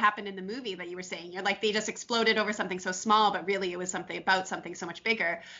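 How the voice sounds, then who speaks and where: Noticeable background noise fills the recording. A woman is speaking. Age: 30s. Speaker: podcast co-host. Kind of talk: casual chat.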